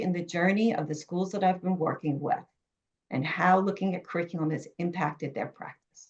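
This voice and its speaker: A New York accent at a moderate pace. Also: woman. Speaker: education author and curriculum consultant. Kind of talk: webinar presentation.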